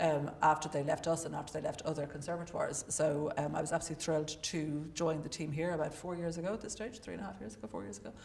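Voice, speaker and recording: A woman with an Irish accent speaks at a very fast pace with hardly any pauses, her pitch very deep and low. Her intonation is lively, her loudness swings widely, and background noise is noticeable. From Ireland. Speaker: opera vocal coach and administrator. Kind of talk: panel introduction.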